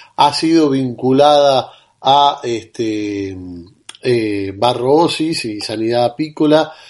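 Speaking very slowly with a Rioplatense accent, a man keeps a medium pitch and ordinary pitch variation. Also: quiet background. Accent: Argentine Spanish (rioplatense). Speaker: radio host. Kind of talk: radio interview. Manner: hesitant, many fillers.

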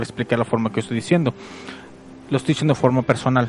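A man's voice amid noticeable background noise. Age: 30s. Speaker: online radio host. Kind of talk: casual podcast monologue.

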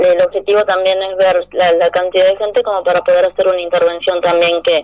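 A woman talks at a fairly quick pace with noticeable background noise and a dry, close sound with no echo. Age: 40s. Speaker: feminist activist. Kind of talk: radio interview.

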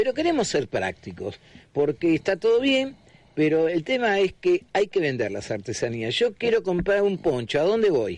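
Speaking at a moderate pace, a man's high-pitched voice swings very widely in pitch. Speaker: radio host. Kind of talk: radio interview.

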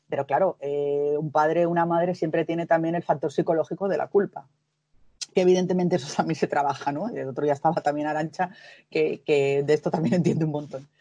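A woman's very deep, low voice with a dark, mellow tone, very fast pace and fairly even intonation over a quiet background. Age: 40s. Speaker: patient advocate. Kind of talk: interview.

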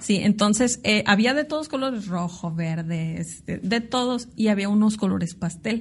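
A woman at a medium pitch, somewhat breathy, with lively intonation, a fairly slow pace and hardly any pauses. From Mexico, Tijuana (Baja California). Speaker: international business consultant and entrepreneur. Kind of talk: interview. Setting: office.

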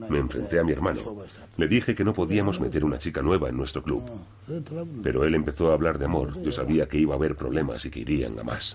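A man's very deep, low voice with ordinary pitch variation at a very fast pace. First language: Japanese (speaking Spanish). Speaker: yakuza boss. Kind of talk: documentary interview.

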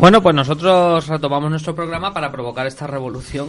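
Noticeable background noise sits behind the recording. A man speaks with ordinary pitch variation. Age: 30s. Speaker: radio host. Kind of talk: casual chat. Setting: studio.

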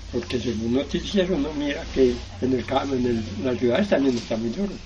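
There is audible room echo and noticeable background noise as a man at medium pitch talks at a moderate pace. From Valle del Cauca, Colombia (Sevilla). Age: 70s. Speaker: farmer. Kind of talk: testimony.

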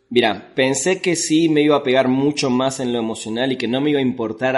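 Over a quiet background, a man talks at a medium pitch with ordinary pitch variation. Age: 40s. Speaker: film critic and writer. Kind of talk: casual chat.

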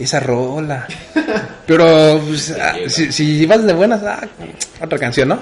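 Noticeable background noise sits behind a man with a fairly high pitch and ordinary pitch variation. He speaks at a fairly slow pace with long, frequent pauses. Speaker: podcast co-host. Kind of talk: casual chat. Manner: laughs often.

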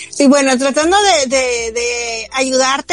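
Over noticeable background noise, a woman with a high-pitched voice speaks fairly slowly, her pitch varying in an ordinary way. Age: 20s. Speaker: podcast co-host. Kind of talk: casual chat.

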